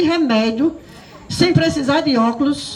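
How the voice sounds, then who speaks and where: A high-pitched woman speaks in an animated tone at a moderate pace with ordinary pitch variation. Noticeable noise sits in the background. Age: 60s. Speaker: preacher. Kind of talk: sermon.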